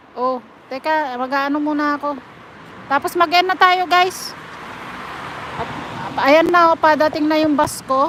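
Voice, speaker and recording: Amid noticeable background noise, a high-pitched woman speaks at a fairly slow pace with long, frequent pauses. Her intonation stays fairly even. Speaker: live streamer, overseas domestic worker. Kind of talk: casual live stream chat. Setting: live stream.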